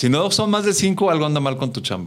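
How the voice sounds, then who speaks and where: With a Mexican accent, a man is talking. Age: 50s. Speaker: customer service trainer and speaker. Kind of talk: interview.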